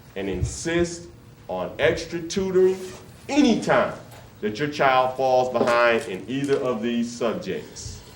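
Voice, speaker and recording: Noticeable background noise sits behind a man's voice. He talks at a fairly slow pace with lively intonation. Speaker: workshop presenter for grandparents. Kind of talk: interactive community workshop talk, live to a room. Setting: church hall, live room recording.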